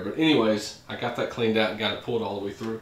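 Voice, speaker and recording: Talking at a fairly quick pace, a man is heard with audible room echo and light background noise. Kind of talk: casual vlog chat. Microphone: camera far.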